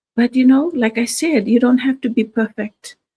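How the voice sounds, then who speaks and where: A woman's voice comes across somewhat breathy. The sound is dry and close, with no echo. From Fiji. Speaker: registered nurse and online business coach. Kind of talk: motivational livestream talk. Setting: live stream from home. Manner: hesitant, many fillers.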